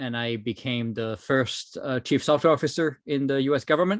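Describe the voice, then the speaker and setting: A man with a French accent speaks at a moderate pace. His pitch is medium. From France. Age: 30s. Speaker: technology executive, speaker. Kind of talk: webinar presentation. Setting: online webinar.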